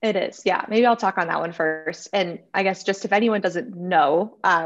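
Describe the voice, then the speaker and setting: A woman with an American accent speaks at a moderate pace in an ordinary speaking voice, her pitch varying in the usual way. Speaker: freelancer. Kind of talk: casual interview.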